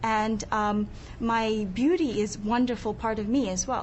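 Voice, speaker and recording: A woman speaks in a monotone, flat intonation, with audible room echo. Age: 20s. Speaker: niqab-wearing interviewee. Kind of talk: debate discussion.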